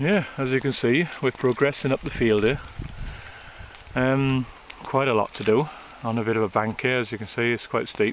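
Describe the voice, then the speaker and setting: Over noticeable background noise, a man at medium pitch talks at a moderate pace with ordinary pitch variation and long, frequent pauses. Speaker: metal detectorist. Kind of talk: casual vlog commentary. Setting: outdoors.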